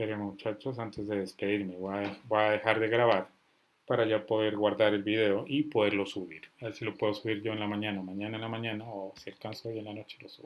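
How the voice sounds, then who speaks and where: Speaking fairly quickly, a man with a fairly low pitch keeps a flat, monotone intonation while his loudness swings widely. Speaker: software instructor. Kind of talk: online class. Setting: video call. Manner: stern, forceful.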